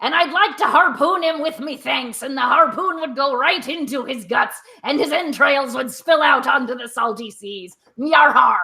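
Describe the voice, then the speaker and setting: A female-sounding voice is pitched high. It is a put-on character voice. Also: moderate pace. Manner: menacing, gruesome.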